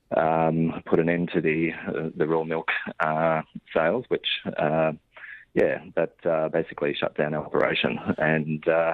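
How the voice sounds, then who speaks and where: A man's very deep, low voice at a fairly slow pace with monotone, flat intonation. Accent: Australian. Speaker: dairy farmer. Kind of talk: radio interview. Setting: phone call. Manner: halting, many fillers.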